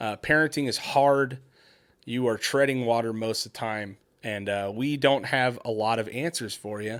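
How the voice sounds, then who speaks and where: A man's unremarkable speaking voice, medium in pitch, at a moderate pace with ordinary pitch variation, on a very clean recording with a silent background. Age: 40s. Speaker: parenting podcast host, construction worker. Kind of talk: casual chat.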